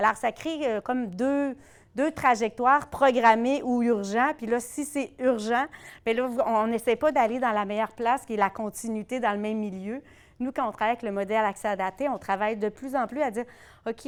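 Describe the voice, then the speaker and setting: A woman speaks in a Quebec accent with a fairly high voice, recorded very cleanly against a silent background. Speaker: conference discussant on primary care. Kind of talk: closing remarks at academic round table. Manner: fast.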